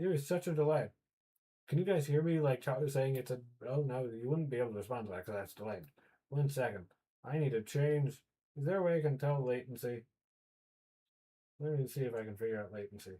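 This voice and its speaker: Somewhat breathy delivery with ordinary pitch variation. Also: man, medium pitch for a man. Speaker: 3D artist livestreamer. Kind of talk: casual livestream chat. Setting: livestream at computer. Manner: halting.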